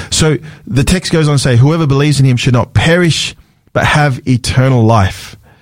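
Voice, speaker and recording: The man speaks with an Australian accent at a moderate pace. His pitch moves with ordinary variation. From Sydney, Australia. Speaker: pastor. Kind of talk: radio talk show discussion. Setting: radio studio.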